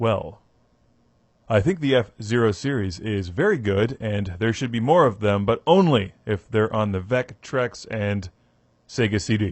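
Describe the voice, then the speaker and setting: The pace is fairly slow, with ordinary pitch variation. It is an unremarkable speaking voice. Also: man, fairly low pitch for a man. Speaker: video game reviewer. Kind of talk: casual Q&A answering viewer questions. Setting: home microphone, audio only.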